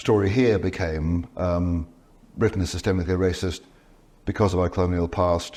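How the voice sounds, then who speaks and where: This man's voice is very deep and low in pitch, with a dark, mellow tone. He speaks at a moderate pace with fairly even intonation. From Scotland. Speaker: professor of theology and author. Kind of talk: interview. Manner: halting, with false starts and repetitions.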